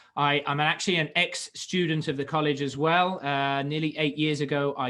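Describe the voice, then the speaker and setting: Speaking with a British accent at a moderate pace, a man has a fairly high-pitched voice and a bright, sharp tone. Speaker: college teacher and international program coordinator. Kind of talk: webinar presentation. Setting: video call webinar. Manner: hesitant, many fillers and repeated words.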